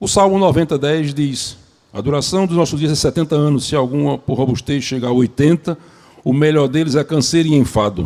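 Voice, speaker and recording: A man talks at a fairly quick pace. His pitch is fairly high and his tone dark and mellow. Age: 70s. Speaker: preacher. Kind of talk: sermon.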